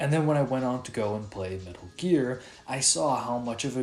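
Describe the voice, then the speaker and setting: A man's medium-pitched voice with lively intonation at a moderate pace, audible room echo, and music in the background. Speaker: gaming YouTuber. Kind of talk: video essay narration. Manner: casual, filler-heavy.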